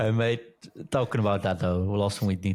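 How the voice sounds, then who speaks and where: A fairly low male voice with a Dutch accent, fairly even intonation, and a very clean recording against a silent background. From Netherlands. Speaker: podcast co-host. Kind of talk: casual chat.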